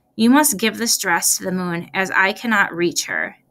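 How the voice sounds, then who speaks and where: Putting on a character voice, a woman talks at a moderate pace with a raspy, medium-pitched sound and lively intonation. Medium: read story.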